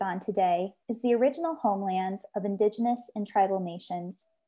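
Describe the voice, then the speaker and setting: A woman with a dark, mellow tone and a somewhat breathy voice speaks at a moderate pace with ordinary pitch variation against a quiet background. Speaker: association staff host. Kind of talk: webinar opening remarks. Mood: warm, friendly, earnest. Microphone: earbuds.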